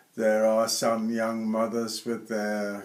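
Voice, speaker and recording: A man with a British accent, fairly low in pitch, monotone and flat, at a very slow pace. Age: 80s+. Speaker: retired airline pilot. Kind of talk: interview.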